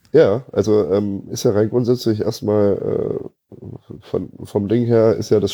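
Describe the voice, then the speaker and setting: A man talks at a fairly slow pace in an unremarkable speaking voice, with a fairly low pitch and fairly even intonation. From Munich, Bavaria. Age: 30s. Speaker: home care service owner, metal fan. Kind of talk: casual chat.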